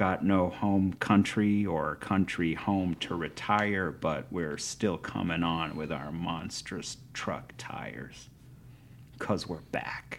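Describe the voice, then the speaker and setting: This man talks with an American accent in a very deep, low pitch. His pace is very slow. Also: ordinary pitch variation. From US Midwest, Ohio. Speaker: poet. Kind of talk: poetry reading; interview. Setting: hotel room.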